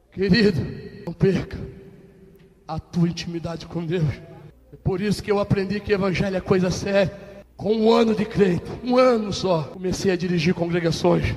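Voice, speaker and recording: A man's high-pitched voice with ordinary pitch variation, moderate pace, and long, frequent pauses, against noticeable background noise. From Rio de Janeiro, Baixada Fluminense. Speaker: pastor. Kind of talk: testimony. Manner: animated.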